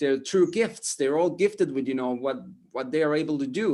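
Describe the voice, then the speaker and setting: Recorded very cleanly over a silent background, a man with an Estonian accent speaks in a fairly high voice at a moderate pace. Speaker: motivational speaker. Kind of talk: interview. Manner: halting, many repetitions and fillers.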